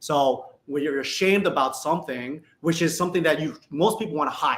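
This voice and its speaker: With an American accent, a man talks in an ordinary speaking voice, his pitch fairly high and its variation ordinary. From northwest suburbs of Chicago, Illinois. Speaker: livestream guest speaking on leadership and identity. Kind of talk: casual interview conversation. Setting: live video stream.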